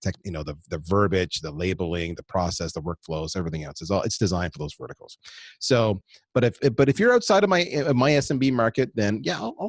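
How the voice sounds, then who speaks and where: In dry, close sound with no echo and a quiet background, a man speaks at a fairly quick pace with very wide pitch swings. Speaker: marketing executive. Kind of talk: podcast interview. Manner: fast.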